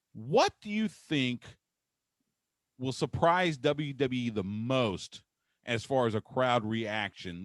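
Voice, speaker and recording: Here is a man with an unremarkable speaking voice at medium pitch and lively intonation. The sound is dry and close with no echo, very clean, with a silent background. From Texas. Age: 50s. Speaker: sports radio host. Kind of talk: casual interview chat.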